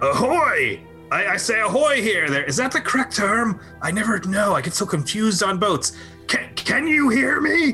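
Over clear music in the background, a man with a high pitch does a put-on character voice at a moderate pace. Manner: cheerful, flustered.

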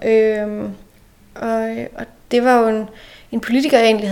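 A woman with a normal speaking voice, fairly high in pitch, at a fairly slow pace, in a very clean recording with a silent background. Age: 30s. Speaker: local politician. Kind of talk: interview. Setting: in person, same room.

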